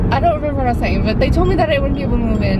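A woman speaks over music in the background. The sound is dry, with no echo. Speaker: vlogger driving. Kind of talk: casual vlog chat. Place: car. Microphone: phone near.

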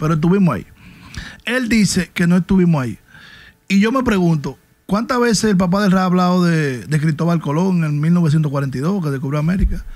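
Over a quiet background, a man speaks at a high pitch and moderate pace with ordinary pitch variation. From Dominican Republic. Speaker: podcast co-host, segment presenter. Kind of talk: opinion commentary. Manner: animated. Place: studio. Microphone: studio mic.

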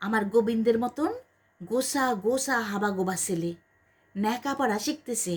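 A natural reading voice carries the text.

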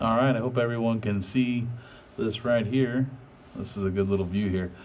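Noticeable background noise accompanies a moderately paced delivery with fairly level intonation. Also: man. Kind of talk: casual vlog chat. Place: garage. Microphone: phone near.

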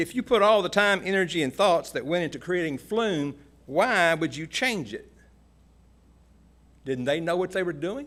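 A Kentucky accent at a moderate pace with lively intonation, long, frequent pauses and a very clean recording with a silent background. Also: man, high pitch for a man. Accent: Kentucky Southern US. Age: 70s. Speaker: landowner speaking at public hearing. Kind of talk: public comment. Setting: public hearing meeting room.

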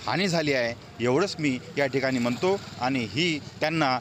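A man's lively intonation cuts through noticeable background noise. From Yavatmal district, Vidarbha. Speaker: author. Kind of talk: tribute interview.

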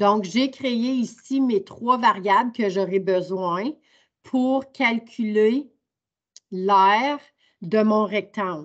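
Against a quiet background, a woman speaks very slowly with long, frequent pauses, her fairly high voice showing ordinary pitch variation. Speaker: teacher. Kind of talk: online training workshop. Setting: video call. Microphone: video call.

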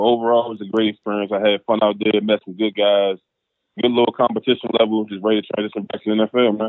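A man speaks with an American accent at a very fast pace. His intonation is monotone and flat. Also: fairly low pitch for a man. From Washington DC (Southeast DC). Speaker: professional football player. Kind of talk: casual interview.

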